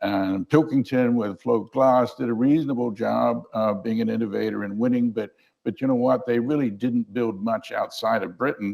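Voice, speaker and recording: A man's medium-pitched, plain, everyday voice with hardly any pauses. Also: fairly even intonation, moderate pace. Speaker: keynote speaker, management professor. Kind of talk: conference keynote lecture.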